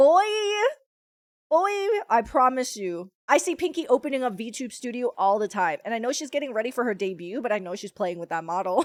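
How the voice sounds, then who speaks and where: Loud and animated, the speaker talks at a fairly quick pace with very wide pitch swings. The recording is very clean, with a silent background. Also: woman, fairly high pitch for a woman. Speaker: streamer (VTuber). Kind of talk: casual chat. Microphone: new headphones, sounds weird.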